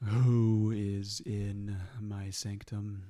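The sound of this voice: Booming and monotone, a man uses a put-on character voice at a fairly low pitch with flat intonation.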